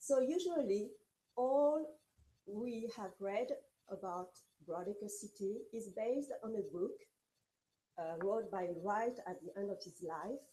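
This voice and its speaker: With a dark, mellow tone and a fairly high pitch, a woman speaks fairly slowly, her intonation lively and her pauses long and frequent. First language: French. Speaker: architecture historian, researcher. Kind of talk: lecture. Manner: halting.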